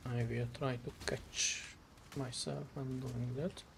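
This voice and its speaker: A man talks in a Hungarian accent. His pace is very slow. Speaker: vtuber streamer. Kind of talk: gameplay commentary. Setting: live stream.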